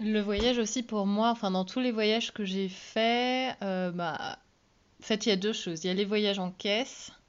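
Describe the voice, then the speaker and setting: A woman talks in an ordinary speaking voice at a medium pitch. Her pitch varies in an ordinary way. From Iceland. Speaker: podcast co-host and touring musician. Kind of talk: personal storytelling. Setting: solo home recording.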